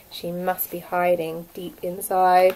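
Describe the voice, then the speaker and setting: Doing a put-on character voice, a woman speaks at a medium pitch and fairly slow pace, with a hissing quality. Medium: read story.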